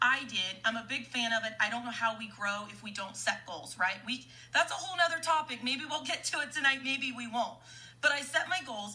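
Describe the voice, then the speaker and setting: Bright and sharp in tone, a woman speaks at a fairly quick pace and a high pitch, animated and with lively intonation. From US Midwest, Kansas. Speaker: network marketing leader. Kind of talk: live-stream training. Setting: Facebook Live stream. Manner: fast.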